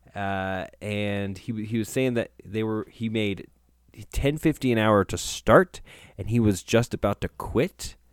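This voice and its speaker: A plain, everyday voice from a man, fairly low in pitch, at a fairly slow pace, with a dry, close sound and no echo. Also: ordinary pitch variation. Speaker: podcast co-host. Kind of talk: casual chat.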